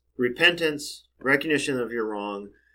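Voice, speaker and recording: A man with an American accent and a bright, sharp tone, at a moderate pace with ordinary pitch variation. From suburban US. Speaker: software engineer and researcher. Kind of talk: interview.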